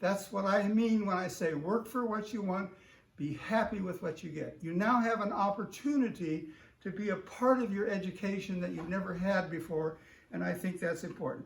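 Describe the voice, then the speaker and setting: A man at a moderate pace, high in pitch with ordinary pitch variation, in audible room echo. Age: 80s+. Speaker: retired physics professor and guest speaker. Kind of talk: talk to a class. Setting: video call.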